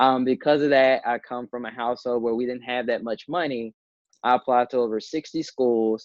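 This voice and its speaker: With an American accent and an unremarkable speaking voice, the talker keeps a moderate pace and fairly even intonation. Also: man, medium pitch for a man. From US South, Memphis, Tennessee. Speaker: digital storyteller and entrepreneur. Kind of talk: interview.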